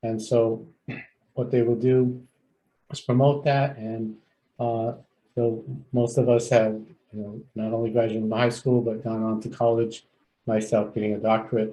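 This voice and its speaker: A man's medium-pitched, dark, mellow voice with monotone, flat intonation, a moderate pace and long, frequent pauses. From San Fernando Valley, California. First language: Spanish. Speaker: clinical psychologist and agency CEO. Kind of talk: onboarding presentation.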